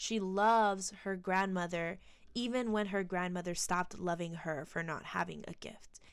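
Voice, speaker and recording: An unremarkable speaking voice comes at a fairly slow pace with fairly even intonation, on a very clean recording with a silent background. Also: woman. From United States, Colombian-American family. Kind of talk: casual film commentary.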